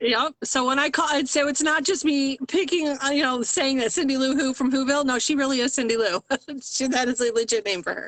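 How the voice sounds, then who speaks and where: Loud and high-pitched, a woman talks at a fairly quick pace with ordinary pitch variation. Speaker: small business owner in sublimation crafting. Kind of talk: casual chat. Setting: live video stream. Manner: animated.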